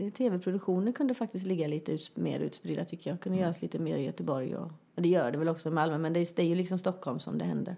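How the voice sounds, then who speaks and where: At a very fast pace, a woman talks in a dark, mellow tone. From Västergötland, Sweden (rural, near Småland/Halland border). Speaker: comedian and actress. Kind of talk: casual chat. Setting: at guest's home.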